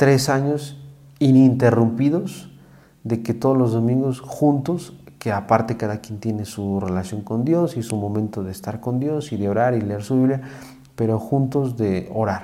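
A man talks at a fairly slow pace with a medium pitch and ordinary pitch variation. He has an ordinary speaking voice. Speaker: psychologist, host's husband. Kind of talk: casual chat.

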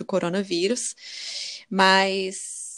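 Medium pitch and fairly even intonation in a woman's a normal speaking voice. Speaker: podcast host, immigrant college graduate. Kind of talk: casual chat.

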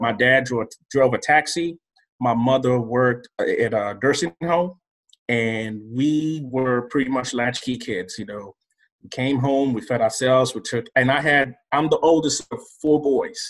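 At a fairly slow pace, a man with medium pitch and ordinary pitch variation speaks in a normal speaking voice. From Nigeria (Lagos), moved to North Carolina at 11. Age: 40s. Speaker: guest, former banker, purchasing professional. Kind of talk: interview, personal story.

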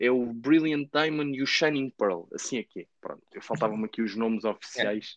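A man with a medium pitch at a moderate pace, with hardly any pauses, ordinary pitch variation and big swings in loudness, in dry, close sound with no echo. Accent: European Portuguese. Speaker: gaming podcast host. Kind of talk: casual chat. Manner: animated.

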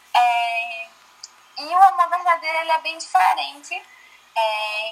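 Speaking fairly slowly with long, frequent pauses, a woman lets her pitch swing very widely against noticeable background noise. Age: 20s. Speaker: church youth leader. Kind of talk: casual chat.

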